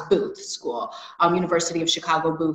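The voice is monotone, with flat intonation and audible room echo. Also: woman. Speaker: interviewee. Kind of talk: interview answer. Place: home room. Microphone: video call.

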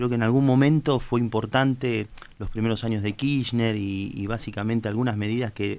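With an unremarkable speaking voice, a man talks at a moderate pace in a medium pitch, his intonation fairly even. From Argentina, Tandil; Argentina. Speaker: politician, candidate. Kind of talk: political interview on live talk show. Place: studio. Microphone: studio mic.

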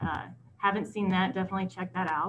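A woman is speaking. There is light noise in the background. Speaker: host introducing a speaker. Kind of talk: speaker introduction. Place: home room. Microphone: video call.

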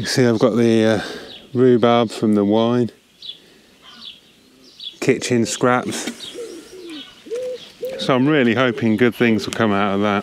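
A man speaks with a clear, smooth tone at medium pitch and fairly even intonation. His pace is slow, with long, frequent pauses.

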